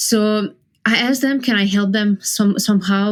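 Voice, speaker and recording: A woman with a Serbian accent at a fairly quick pace. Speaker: professional poker player. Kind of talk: interview.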